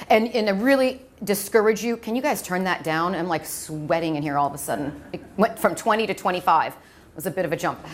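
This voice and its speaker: Over noticeable background noise, a woman with an American accent and medium pitch talks at a fairly quick pace with hardly any pauses, lively intonation and big swings in loudness. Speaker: medical device clinical trainer. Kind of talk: lecture. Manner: fast.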